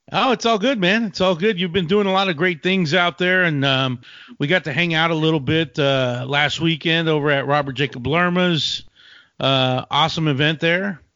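A man with a Texan accent talks at a moderate pace, his loudness very even and his pitch varying in an ordinary way. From West Texas. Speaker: podcast host. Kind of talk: casual interview chat; scripted intro narration.

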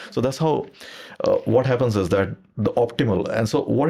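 A man's dark, mellow tone comes through at a moderate pace on a very clean recording with a silent background. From India. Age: 50s. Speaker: property professor. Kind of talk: interview.

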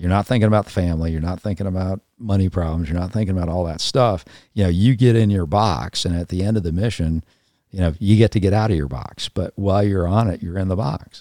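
A man with an American accent talks at a very fast pace in a very deep, low pitch with ordinary pitch variation. The recording is very clean with a silent background, and the sound is dry and close with no echo. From Southern California, San Fernando Valley. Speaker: retired naval officer. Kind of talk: casual chat. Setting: at home.

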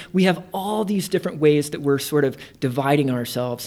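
At a moderate pace, a man uses a plain, everyday voice, fairly high in pitch with ordinary pitch variation. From Indiana. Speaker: theater artistic director. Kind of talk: casual interview. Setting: in person at guest's workplace.

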